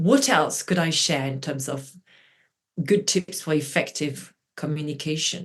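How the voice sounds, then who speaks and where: In a French accent, a woman speaks at a fairly slow pace with a very deep, low pitch. Her voice is somewhat breathy and shows ordinary pitch variation. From France (Brittany). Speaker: journalist and media trainer. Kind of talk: interview. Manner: animated.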